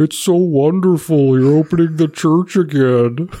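Using a put-on character voice, a man speaks at a moderate pace with fairly even intonation and a fairly high pitch.

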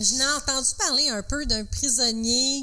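Over noticeable background noise, a woman with a Quebec accent speaks at a very slow pace with fairly even intonation. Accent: Québécois French. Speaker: podcast co-host. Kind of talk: storytelling.

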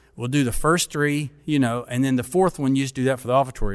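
Speaking at a very fast pace in a Kentucky accent, a man of medium pitch shows ordinary pitch variation. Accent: Kentucky Southern US. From Kentucky, small town. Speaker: denominational mission board president and former pastor. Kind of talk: casual interview.

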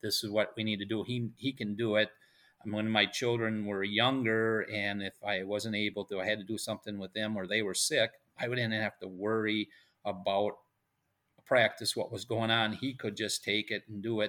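In an Upper Midwest accent, a man speaks at a moderate pace with a fairly low pitch, flat monotone intonation and a bright, sharp tone on a very clean recording with a silent background. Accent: Upper Midwest American. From central Wisconsin. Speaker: high school baseball coach. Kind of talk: interview.

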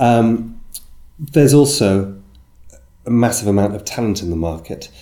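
A man with a British accent speaks at a moderate pace and medium pitch. His tone is dark and mellow, broken by long, frequent pauses. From UK. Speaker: agency business development consultant. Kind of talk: interview. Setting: in person in London.

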